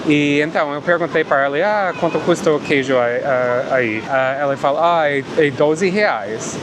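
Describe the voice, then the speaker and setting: At a moderate pace, a man speaks with a fairly high pitch and ordinary pitch variation. Noticeable background noise and audible room echo are present. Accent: non-native. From Canada. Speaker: travel vlogger. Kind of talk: casual vlog narration. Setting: outdoors on a beach.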